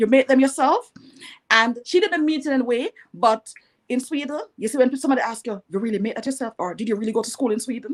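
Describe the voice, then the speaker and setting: With a Jamaican accent, a woman talks at a very fast pace and high pitch with lively intonation, the sound dry and close with no echo. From Jamaica (rural, Bath, St Thomas). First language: Jamaican Patois. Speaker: entrepreneur. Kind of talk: interview.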